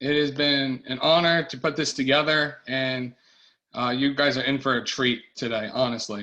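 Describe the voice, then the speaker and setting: A bright, sharp tone with an American accent against a quiet background. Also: man, fairly high pitch for a man, moderate pace. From Long Island, New York. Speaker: church tech company owner and event host. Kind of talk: online summit opening and introduction. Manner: halting, many fillers.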